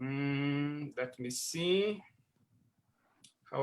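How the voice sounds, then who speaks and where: A man talks at a very slow pace. His tone is bright and sharp. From Brazil. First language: Portuguese. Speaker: scientist. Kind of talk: online presentation. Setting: video call. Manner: halting.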